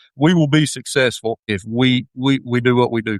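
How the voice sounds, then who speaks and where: A man at medium pitch in an Appalachian accent, with ordinary pitch variation and a dry, close sound with no echo. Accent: Appalachian twang. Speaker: high school football head coach. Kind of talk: podcast interview. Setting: at the school.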